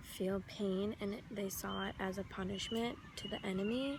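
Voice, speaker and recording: The soft-spoken voice carries an audible room echo. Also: woman. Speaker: travel vlogger. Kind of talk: travel vlog narration.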